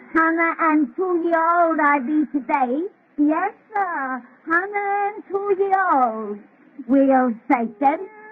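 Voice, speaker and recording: Cackling in a put-on character voice, a female-sounding speaker goes at a very slow pace in an extremely high pitch. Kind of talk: 1930s radio horror acting. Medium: old radio play. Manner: cackling, folksy, relishing.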